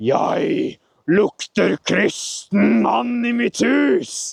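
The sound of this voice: A put-on character voice, shouting at a very slow pace. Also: man.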